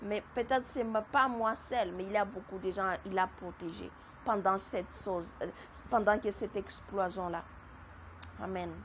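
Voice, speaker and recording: A woman's somewhat breathy voice at medium pitch, with long, frequent pauses. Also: ordinary pitch variation, fairly slow pace. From Madagascar. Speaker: testimony giver. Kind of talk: testimony. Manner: halting, repeats words.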